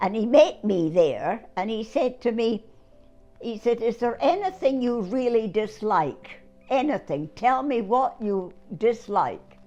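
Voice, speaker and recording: Music plays in the background as a woman with a fairly high pitch talks at a fairly slow pace, her pitch swinging very widely. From Scotland. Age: 80s+. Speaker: war bride. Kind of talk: interview answer.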